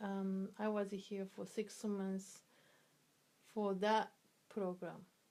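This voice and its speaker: The speaker has a Japanese accent and a dark, mellow tone. The intonation is monotone and flat. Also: woman. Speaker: interviewee, immigrant mother. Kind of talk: interview. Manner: halting, with many fillers.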